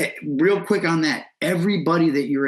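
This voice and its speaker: A man's animated tone carries through at a moderate speed. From Ohio, Lake County (Painesville, near Cleveland). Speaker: hip hop artist and event host. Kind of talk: casual interview. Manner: loud, outgoing.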